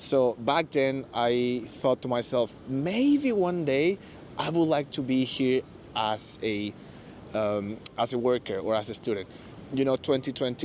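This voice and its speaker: Speaking at a moderate pace, a man with a Spanish accent uses a medium pitch and ordinary pitch variation. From Mexico. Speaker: former office worker in Japan. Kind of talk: interview. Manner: hesitant, many fillers.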